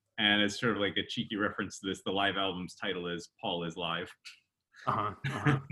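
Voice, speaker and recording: A man's plain, everyday voice, fairly low in pitch, at a fairly quick pace with fairly even intonation. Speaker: podcast co-host and percussionist. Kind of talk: casual chat and informative segment.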